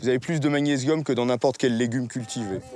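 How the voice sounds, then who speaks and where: A man speaks at a fairly quick pace in an animated tone, with ordinary pitch variation. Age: 60s. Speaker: botanist and wild plant forager. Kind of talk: casual explanation during a foraging walk.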